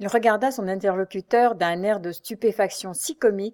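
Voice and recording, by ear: Reading aloud in a natural voice makes up the clip.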